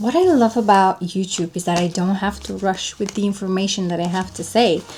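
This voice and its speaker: Over noticeable background noise, a woman with a Bulgarian accent speaks at a moderate pace and medium pitch, in a relaxed tone with ordinary pitch variation. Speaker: lifestyle vlogger. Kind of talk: casual show-and-tell vlog. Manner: relaxed, chatty.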